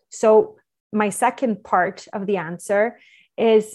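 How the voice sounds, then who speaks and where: A woman at medium pitch speaks with fairly even intonation over a quiet background. Hers is an unremarkable speaking voice. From Quebec, Canada. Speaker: entrepreneur and parenting advisor. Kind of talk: interview.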